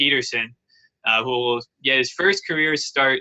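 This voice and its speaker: At a fairly slow pace, a man speaks with fairly even intonation. His pitch is medium. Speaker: hockey podcast co-host. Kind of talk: casual sports chat. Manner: halting, stumbling over words.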